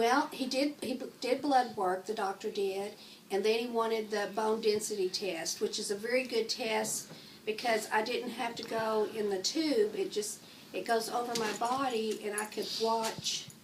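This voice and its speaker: A woman talks at a moderate pace and a fairly high pitch, with noticeable background noise around her. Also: fairly even intonation. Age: 60s. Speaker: interviewee with osteoporosis. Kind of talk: interview.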